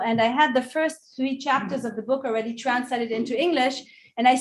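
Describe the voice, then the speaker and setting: A woman with a high voice talks fairly quickly, her pitch varying in an ordinary way. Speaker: author and conference speaker. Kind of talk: conference Q&A. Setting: conference hall with audience and Zoom. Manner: halting, many fillers.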